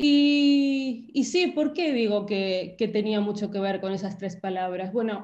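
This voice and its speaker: A woman speaks at a very slow pace with hardly any pauses. The background is quiet. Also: fairly high pitch for a woman, lively intonation. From Spain. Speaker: writer. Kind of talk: talk in a virtual panel. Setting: video call.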